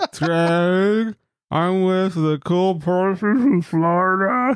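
In a put-on character voice, a man speaks with a high pitch at a very slow pace. The recording is very clean with a silent background. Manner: goofy, slurred.

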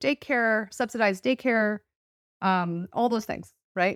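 A woman with a Californian accent at a fairly high pitch and moderate pace, in a dry, close sound with no echo on a very clean recording with a silent background. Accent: Californian American. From Los Angeles, US West Coast. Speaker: author. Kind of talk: interview, casual chat.

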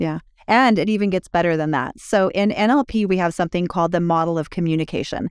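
A woman with a fairly low pitch speaks very fast, her loudness very even and her pitch varying in an ordinary way. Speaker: relationship podcast host. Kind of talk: podcast conversation between married co-hosts.

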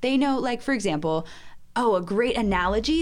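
A woman with an ordinary speaking voice and ordinary pitch variation. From US South, Georgia. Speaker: missionary, soccer ministry leader. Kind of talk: casual chat. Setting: studio.

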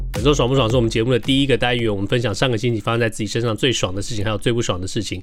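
A man is talking. His voice sits at a medium pitch. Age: middle-aged. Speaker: podcast co-host. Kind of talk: casual chat.

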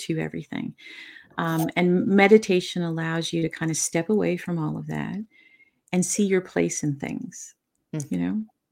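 A soft-spoken woman with a fairly low voice and lively intonation is heard on a very clean recording with a silent background. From Newfoundland, Canada. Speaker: author and bereaved mother. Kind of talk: interview.

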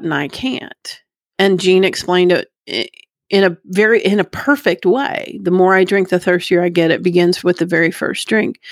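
The delivery is neither rushed nor slow. Everything sounds close-miked and dry, free of any echo. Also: woman. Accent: Texan. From Plano, Texas. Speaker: recovering alcoholic. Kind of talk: testimony.

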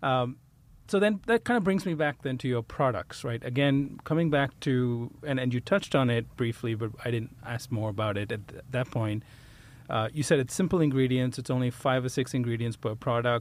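An ordinary speaking voice from a man, medium in pitch, at a moderate pace with ordinary pitch variation. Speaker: podcast host. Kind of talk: interview.

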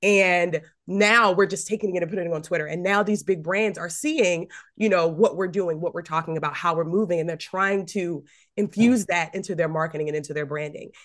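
An animated woman's voice, fairly low and fairly quick, with ordinary pitch variation and a quiet background. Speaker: podcast host. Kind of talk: interview. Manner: loud.

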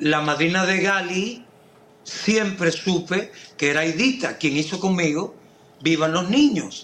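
This man talks with a Cuban accent in a high pitch, with ordinary pitch variation. His pace is very slow and his loudness very even. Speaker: singer and actor. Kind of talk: casual interview.

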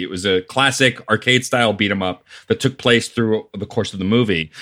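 With a normal speaking voice, a man talks at a moderate pace in a fairly low pitch with ordinary pitch variation. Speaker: podcast guest. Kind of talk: casual chat.

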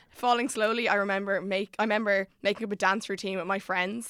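Speaking with an Irish accent at a fairly quick pace, a woman uses a medium pitch and monotone, flat intonation. The recording is very clean, with a silent background. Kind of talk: casual chat.

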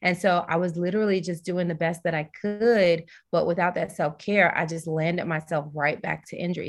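A woman speaks in an American accent with a fairly low pitch and ordinary pitch variation. It's an ordinary speaking voice. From US South, Tennessee. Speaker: wellness coach and yoga teacher. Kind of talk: casual interview.

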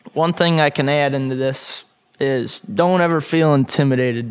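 A man with an American accent talks at a moderate pace in a fairly high pitch with ordinary pitch variation. His is an unremarkable speaking voice. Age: 20s. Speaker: young farmer. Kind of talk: interview. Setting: on location at a winery.

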